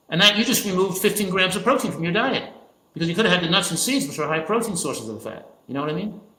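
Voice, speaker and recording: A man with an American accent speaks at a very fast pace in a raised, projected voice. His intonation is lively, and there is audible room echo. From New Jersey. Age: 70s. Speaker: physician and nutrition expert. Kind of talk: interview. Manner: halting, with frequent self-corrections.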